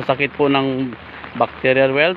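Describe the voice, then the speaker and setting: A man speaks in a dry recording with no echo. Light background noise sits behind him. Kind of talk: casual vlog chat. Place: rain. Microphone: phone near.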